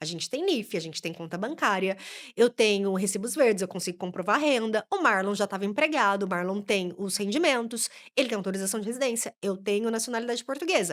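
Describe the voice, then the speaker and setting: A woman with a Brazilian accent talks at a very fast pace in an animated tone, medium in pitch with ordinary pitch variation. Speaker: immigration lawyer. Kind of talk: podcast interview.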